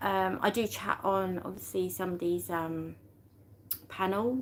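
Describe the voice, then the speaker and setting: In a British accent, a woman speaks at a fairly slow pace. Her pitch is medium, with fairly even intonation. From UK. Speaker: YouTube livestreamer. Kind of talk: casual livestream chat. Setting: live stream. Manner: halting, many fillers and restarts.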